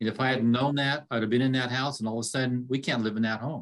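A man rattles along at a very fast pace, his medium pitch showing ordinary variation. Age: 60s. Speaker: realtor and real estate instructor. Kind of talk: casual interview.

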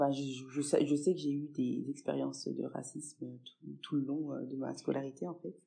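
A woman speaks at a moderate pace. She hardly pauses at all. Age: 30s. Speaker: pediatric nurse. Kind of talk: interview.

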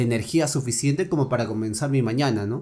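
The recording is very clean with a silent background, capturing a man's medium-pitched voice with ordinary pitch variation. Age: 20s. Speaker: lawyer. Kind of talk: casual chat.

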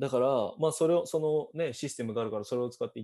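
Ordinary pitch variation from a man, over a quiet background. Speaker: podcast host, university student. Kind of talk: casual interview chat.

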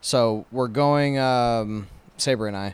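A man's plain, everyday voice with an American accent, medium in pitch and fairly even in intonation, on a very clean recording with a silent background. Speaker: podcast co-host. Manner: casual, joking, profane.

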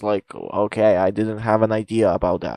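In a very clean recording with a silent background and a dry, close sound with no echo, a man speaks at a fairly slow pace and medium pitch. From Bosnia. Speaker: podcast host. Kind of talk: casual chat, interview.

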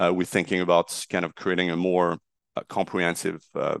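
At a fairly quick pace, a man with a very deep, low pitch speaks in a dry, close sound with no echo and a quiet background. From southern France, Marseille. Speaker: insurtech startup CEO. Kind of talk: interview. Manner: halting, many fillers.

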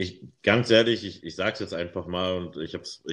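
Moderate-paced speech from a man, his pitch very deep and low, its variation ordinary. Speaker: podcast co-host. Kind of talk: casual chat.

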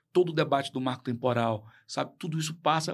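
A man with a fairly high voice is heard on a very clean recording with a silent background. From Brazil, Tocantins (Colinas). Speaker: public official and lawyer. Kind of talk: radio interview. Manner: halting, repeats words.

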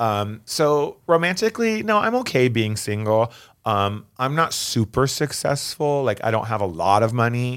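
A man with a plain, everyday voice talks at a moderate pace and medium pitch, keeping his loudness very even while his intonation stays lively. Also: very clean recording, silent background. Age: 40s. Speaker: drag performer. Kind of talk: casual chat.

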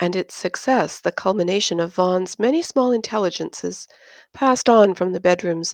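Here is a natural reading voice. It reads the text aloud.

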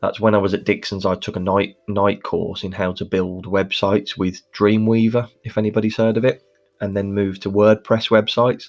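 A man with a Birmingham accent talks at a moderate pace and fairly low pitch, in a monotone, flat intonation with hardly any pauses. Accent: Birmingham (Brummie), noticeable. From Birmingham, England. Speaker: podcast host, social media manager for mortgage brokers. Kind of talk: solo podcast monologue, conversational. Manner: conversational, uses fillers like um.

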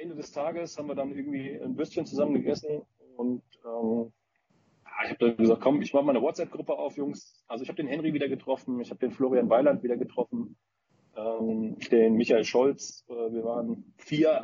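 Speaking at a moderate pace, a man uses lively intonation in a normal speaking voice pitched fairly high. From Frankfurt region, Germany. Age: 30s. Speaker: paintball team founder. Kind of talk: casual chat.

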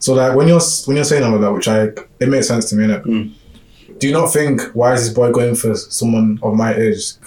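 A man with a London accent at a very fast pace, with ordinary pitch variation and noticeable background noise. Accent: London Multicultural English. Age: 20s. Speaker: podcast host. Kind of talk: casual chat.

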